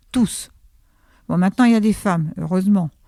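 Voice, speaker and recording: The voice has a dark, mellow tone, heard dry and close with no echo on a very clean recording with a silent background. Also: woman. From France, Sarthe (La Ferté-Bernard). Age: 80s+. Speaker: senior bowling club member. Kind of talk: casual interview.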